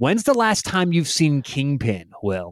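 The recording is very clean with a silent background. A man with an American accent speaks fairly slowly at a fairly high pitch. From Denver, Colorado. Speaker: college football podcast co-host. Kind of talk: casual chat. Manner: animated.

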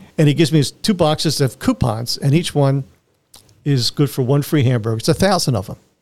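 An American accent marks this man's fairly high voice as he talks very fast with ordinary pitch variation. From Philadelphia, US. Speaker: Vietnam war veteran, former POW. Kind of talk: interview, telling his life story.

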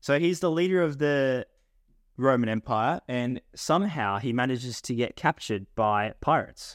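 With an Australian accent, a man speaks at a moderate pace, with a medium pitch and lively intonation. The recording is very clean with a silent background, and the sound is dry and close with no echo. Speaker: podcast co-host. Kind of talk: casual chat.

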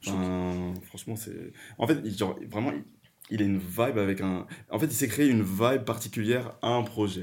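A man with a fairly low pitch, ordinary pitch variation and a moderate pace, an unremarkable speaking voice. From Paris region and rural France, Guadeloupean family. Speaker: podcast guest, art management student. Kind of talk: casual chat.

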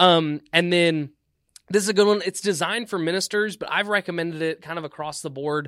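The speech moves at a fairly quick pace with fairly even intonation, in a dry, close sound with no echo. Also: man, high pitch for a man. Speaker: student minister. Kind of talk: casual podcast interview.

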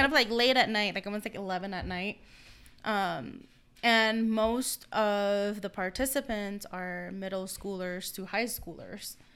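On a very clean recording with a silent background, a woman with a slight non-native accent speaks fairly slowly at a medium pitch in a bright, sharp tone, with ordinary pitch variation and big swings in loudness. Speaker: podcast host. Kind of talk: casual chat.

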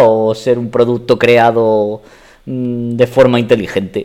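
A man speaks with a dark, mellow tone at a medium pitch. His intonation stays monotone and flat. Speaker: podcast guest, host's partner. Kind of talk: casual chat. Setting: home dining room.

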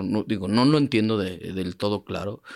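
A man talks at a moderate pace in a plain, everyday voice of medium pitch. The recording is very clean, with a silent background. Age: 30s. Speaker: paralympic athlete and sports coach. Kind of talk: interview testimony.

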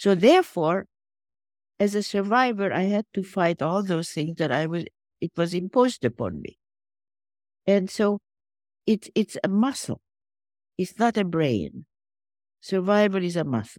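Lively intonation at a fairly slow pace, long and frequent pauses, a dry, close sound with no echo, and a very clean recording over a silent background. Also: woman, medium pitch for a woman. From Hungary, Budapest. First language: Hungarian. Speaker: philanthropist and Holocaust survivor. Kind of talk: interview.

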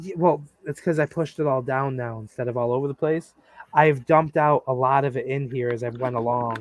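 Recorded with a dry, close sound and no echo, a man with a plain, everyday voice talks at a medium pitch and a fairly quick pace with fairly even intonation. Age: 30s. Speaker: podcast host. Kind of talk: casual chat.

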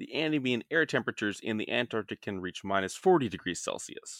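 The background is silent, and the recording very clean. A man talks fairly quickly. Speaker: podcast host. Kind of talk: casual chat about science.

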